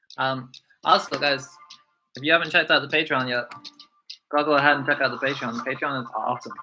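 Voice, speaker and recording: A man's fairly high voice at a very fast pace, ordinary pitch variation, long and frequent pauses, and music in the background. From Scotland. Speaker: YouTube reaction streamer, teacher. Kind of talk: casual livestream chat. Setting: livestream.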